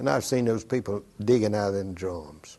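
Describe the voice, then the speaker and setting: The man's tone is dark and mellow, and he keeps to a moderate pace. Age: 80s+. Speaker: WWII veteran. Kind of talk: oral history interview. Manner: halting.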